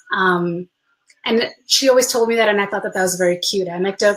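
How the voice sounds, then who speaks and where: Her pitch sits in the middle range. She is a woman speaking in a Spanish accent. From United States, Peruvian family. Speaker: Spanish teacher, speaker. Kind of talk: personal talk with slides.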